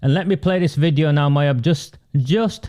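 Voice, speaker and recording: In a very clean recording with a silent background, the speaker has a dark, mellow tone, a non-native accent, ordinary pitch variation and a moderate pace. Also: man. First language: not English. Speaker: political campaigner and livestream host. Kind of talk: livestream political commentary. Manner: animated.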